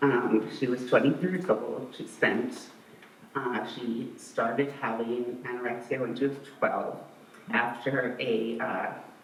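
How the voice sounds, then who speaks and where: A man with a medium-pitched voice speaks very slowly and with fairly even intonation, amid noticeable background noise and audible room echo. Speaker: bereaved parent speaking at memorial. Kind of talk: eulogy. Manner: hesitant, many fillers.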